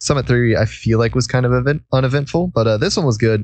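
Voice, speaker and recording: Fairly even intonation from a man at a medium pitch and a fairly quick pace. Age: 20s. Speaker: podcast host. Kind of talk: casual chat.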